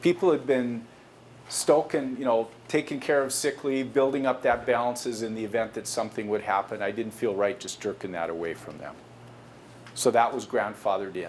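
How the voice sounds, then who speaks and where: A man's normal speaking voice, medium in pitch, at a fairly quick pace with ordinary pitch variation. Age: 60s. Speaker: company executive giving a guest lecture to students. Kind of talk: lecture.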